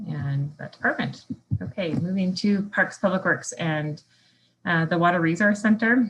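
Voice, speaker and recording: The speaker has an ordinary speaking voice, talking at a moderate pace with ordinary pitch variation. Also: woman, fairly low pitch for a woman. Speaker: municipal staff presenter. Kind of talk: staff presentation at council meeting.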